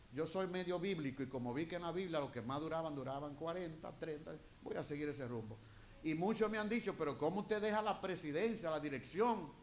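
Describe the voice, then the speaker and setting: Audible room echo surrounds a man who speaks fairly quickly with lively intonation. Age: 60s. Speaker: retired pastor. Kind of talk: sermon. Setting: church.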